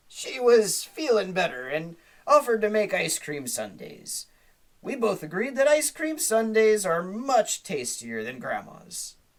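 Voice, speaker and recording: Using a put-on character voice, a woman speaks at a fairly slow pace with fairly high pitch. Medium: read story. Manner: pirate talk, salty and blustery.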